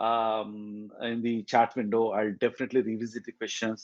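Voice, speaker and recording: A man talks at a moderate pace in a plain, everyday voice with a medium pitch. The background is quiet. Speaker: tech community meetup organizer and speaker. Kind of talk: technical presentation. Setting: hybrid meetup, in person and online.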